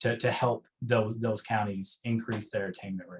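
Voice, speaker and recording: The voice carries an Eastern Kentucky accent. It sounds somewhat breathy. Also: man. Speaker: higher education researcher. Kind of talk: meeting presentation Q&A. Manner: halting, many fillers.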